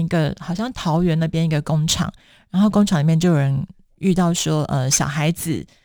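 A woman speaks in a normal speaking voice at a fairly low pitch and a moderate pace. The recording is very clean, with a silent background. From Taiwan. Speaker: author. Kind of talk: interview.

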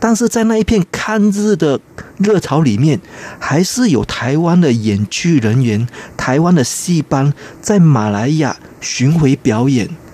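With noticeable background noise but a dry, close sound with no echo, a man speaks at a fairly slow pace and fairly high pitch, his loudness very even while his pitch swings very widely. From Malaysia. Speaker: theatre scholar. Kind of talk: radio interview.

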